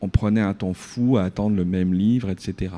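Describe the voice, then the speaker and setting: At a moderate pace, a man speaks with a dark, mellow tone and a fairly low pitch. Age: 50s. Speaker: researcher in a debate. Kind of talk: debate. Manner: animated.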